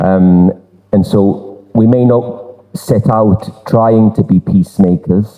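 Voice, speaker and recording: A man talks with a Durham accent. His intonation is fairly even. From northern England, Durham. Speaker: exhibition presenter. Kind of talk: public presentation. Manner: halting, many repetitions and fillers.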